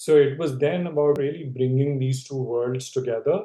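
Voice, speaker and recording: A man with a Telugu accent, somewhat breathy, with a dark, mellow tone. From India. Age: 50s. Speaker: leadership expert. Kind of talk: interview conversation. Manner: conversational, with fillers and restarts.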